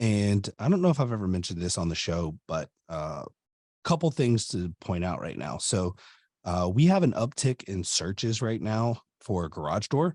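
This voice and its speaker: Energetic in tone, a man speaks at a moderate pace and fairly low pitch with very wide pitch swings, on a very clean recording with a silent background and a dry, close sound with no echo. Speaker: garage door business owner and podcast host. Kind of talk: podcast industry update talk.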